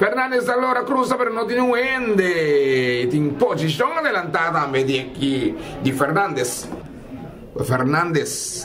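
The delivery is fairly slow, with very wide pitch swings and very even loudness. Noticeable background noise runs underneath. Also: man, high pitch for a man. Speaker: football commentator. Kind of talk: live sports commentary. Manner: mixes Spanish, Portuguese, Papiamentu.

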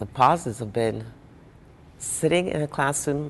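Light background noise behind a woman speaking at a moderate pace. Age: 50s. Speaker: mature college student. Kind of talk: interview answer. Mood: warm, cheerful. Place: studio. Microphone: lapel.

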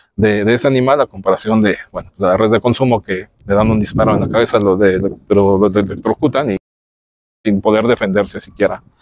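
In a plain, everyday voice, a man with fairly low pitch talks at a fairly quick pace with fairly even intonation, recorded dry with no echo against a quiet background. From Mexico. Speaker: podcast host. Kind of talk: interview. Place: garden.

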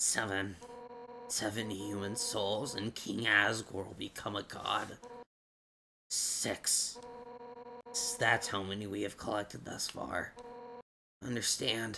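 A man puts on a raspy character voice at a medium pitch, talking at a very slow pace with long, frequent pauses. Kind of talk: dramatic battle speech. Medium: virtual streamer. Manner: defiant, menacing, passionate.

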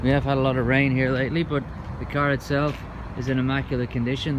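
A man is heard over noticeable background noise. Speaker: car salesperson. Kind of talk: sales walkaround presentation. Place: street. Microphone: phone near.

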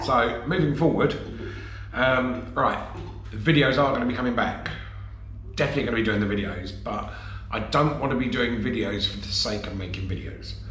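A man at a fairly quick pace, with audible room echo and music in the background. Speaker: campervan vlogger. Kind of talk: casual vlog chat. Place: home room. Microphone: phone near.

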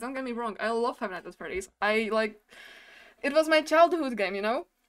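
At a moderate pace, the woman speaks with lively intonation. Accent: non-native. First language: not English. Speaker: gamer. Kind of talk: casual gameplay commentary. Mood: playful, nervous excitement. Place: home room. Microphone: studio mic.

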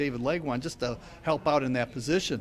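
A plain, everyday voice speaks at a moderate pace with fairly even intonation over light background noise. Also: man. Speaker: hockey radio play-by-play announcer. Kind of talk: interview answer. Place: cafe. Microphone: handheld.

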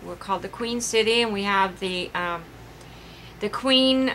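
A woman's bright, sharp tone over light background noise. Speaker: craft vlogger. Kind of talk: casual vlog chat. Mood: rueful, laughing at mishap. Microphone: phone near.

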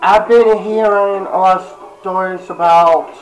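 Over music in the background, the speech moves at a very slow pace with audible room echo. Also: man. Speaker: vlogger, gaming YouTuber. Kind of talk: casual vlog talk to camera. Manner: halting, many fillers.

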